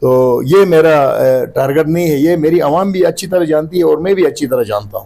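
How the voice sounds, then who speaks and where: Speaking at a moderate pace, a man uses a dark, mellow tone with ordinary pitch variation. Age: 60s. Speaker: political candidate. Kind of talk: interview. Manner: halting, many fillers.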